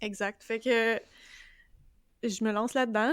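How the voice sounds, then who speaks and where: A woman with a Quebec accent talks at a fairly slow pace with fairly even intonation and a fairly high pitch, recorded very cleanly against a silent background. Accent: Québécois French. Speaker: podcast co-host, book club. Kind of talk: casual chat.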